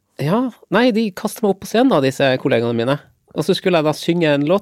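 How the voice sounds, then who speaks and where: Very fast speech comes from a man with very wide pitch swings. The sound is dry and close, with no echo. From Lofoten, northern Norway. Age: 40s. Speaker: war veteran. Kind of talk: interview conversation. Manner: halting with fillers.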